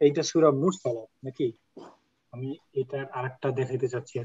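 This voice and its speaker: In a somewhat breathy, medium-pitched voice, a man speaks in a flat monotone, the sound dry and close with no echo. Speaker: Quran Arabic teacher. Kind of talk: online class.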